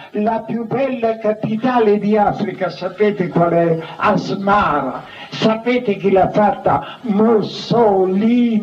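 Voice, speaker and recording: Music plays in the background as a man speaks very slowly. His pitch is high, with ordinary variation. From Lazio, Italy. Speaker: Carmelite friar, former military chaplain. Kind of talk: public reading from his own biography. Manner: declamatory, rhetorical.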